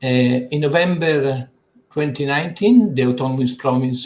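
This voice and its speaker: A man with an Italian accent speaks in a somewhat breathy, medium-pitched voice with ordinary pitch variation. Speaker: government agency director. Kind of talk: conference presentation. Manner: halting.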